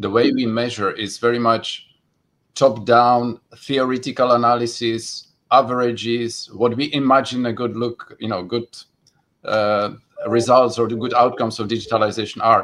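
A man's medium-pitched voice at a moderate pace, monotone and flat in intonation, with big swings in loudness. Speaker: policy official. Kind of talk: panel discussion.

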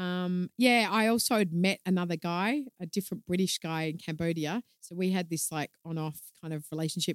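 Speaking in an Australian accent, a woman talks at medium pitch and a moderate pace in a dry, close sound with no echo. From Australia, Melbourne. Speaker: communications consultant and yoga instructor. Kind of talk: casual chat. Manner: says um a lot.

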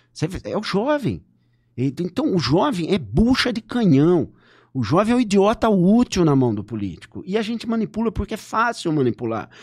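On a very clean recording with a silent background, a man speaks at a moderate pace in a high pitch with very wide pitch swings. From Brazil, São Paulo state (Limeira). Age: 50s. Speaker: political scientist. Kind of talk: interview.

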